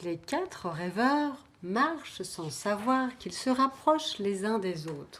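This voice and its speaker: A woman speaks very slowly at a fairly high pitch, with very wide pitch swings and hardly any pauses. Noticeable background noise runs under her voice. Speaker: storyteller. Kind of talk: children's story telling.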